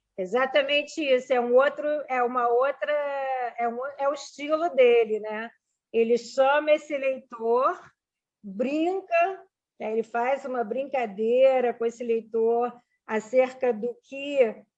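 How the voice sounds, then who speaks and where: A fairly slow delivery with long, frequent pauses and ordinary pitch variation. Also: woman, high pitch for a woman. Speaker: literature professor. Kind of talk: informal lecture with discussion.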